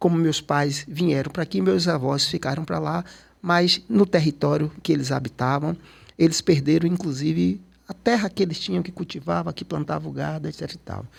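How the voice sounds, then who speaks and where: A man with a fairly high pitch and an unremarkable speaking voice, at a moderate pace, with lively intonation and big swings in loudness, on a very clean recording with a silent background. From Salvador, Bahia, Brazil. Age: 60s. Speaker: photographer and cultural activist. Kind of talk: interview conversation.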